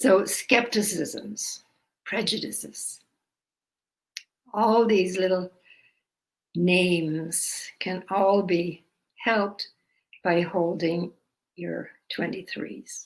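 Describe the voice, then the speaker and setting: A woman talks at a very slow pace. Her speech has long, frequent pauses. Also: medium pitch for a woman, fairly even intonation. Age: 80s+. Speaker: energy healing teacher. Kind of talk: guided self-help practice talk.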